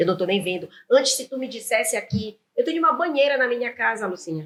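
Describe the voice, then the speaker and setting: A woman speaks at a fairly high pitch and a very fast pace. Her tone is animated, with very wide pitch swings. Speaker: entrepreneur and business owner. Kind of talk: interview conversation.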